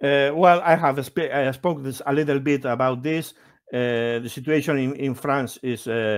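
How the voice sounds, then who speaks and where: A man speaks with a Basque accent. His intonation stays fairly even. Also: fairly high pitch for a man, moderate pace. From Basque Country. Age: 50s. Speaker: Basque language advocate. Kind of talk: interview. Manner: halting, many fillers and restarts.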